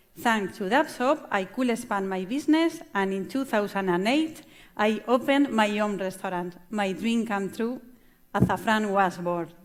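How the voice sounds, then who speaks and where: A woman speaks with a Spanish accent at a medium pitch and moderate pace. Her intonation is lively, and the recording is very clean with a silent background. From Spain, La Mancha. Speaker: chef and restaurant owner. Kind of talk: conference talk. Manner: halting.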